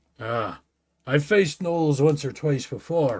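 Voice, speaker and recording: A man puts on a character voice, pitched fairly high and delivered fairly slowly. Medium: read story.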